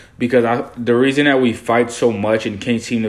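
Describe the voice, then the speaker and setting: A man's monotone, flat delivery at a fairly quick pace, with noticeable background noise. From Haiti, raised in US from age 7. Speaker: graduate student co-host. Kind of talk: podcast discussion.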